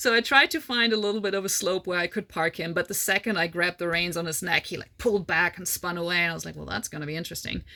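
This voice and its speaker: Talking at a very fast pace with hardly any pauses, this speaker has a non-native accent and ordinary pitch variation. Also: woman, fairly low pitch for a woman. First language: not English. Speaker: horse rider / endurance racer, vlogger. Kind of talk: casual Q&A monologue. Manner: casual, hesitant fillers.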